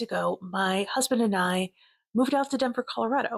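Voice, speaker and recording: The speech, with an American accent, has lively intonation and a dry, close sound with no echo. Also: woman, very clean recording, silent background. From New York (Westchester). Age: 40s. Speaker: nonprofit data consultant. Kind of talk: casual self-interview video.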